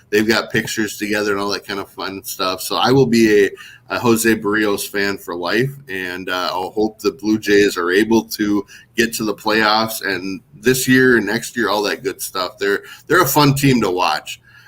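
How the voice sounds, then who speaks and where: With a northern Minnesota accent, a man talks at a moderate pace and with fairly even intonation. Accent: northern Minnesota accent, similar to Toronto. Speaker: baseball website founder. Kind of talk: podcast interview.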